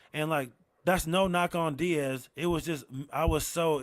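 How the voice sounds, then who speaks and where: In a very clean recording with a silent background, a man with an American accent mumbles at a moderate pace in a fairly high pitch, with fairly even intonation. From Rochester, New York. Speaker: comedian. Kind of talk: casual chat. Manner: mumbling; low energy.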